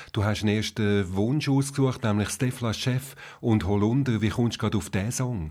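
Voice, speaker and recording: A man with an unremarkable speaking voice, medium pitch and ordinary pitch variation, at a moderate pace on a very clean recording with a silent background. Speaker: podcast host. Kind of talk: interview.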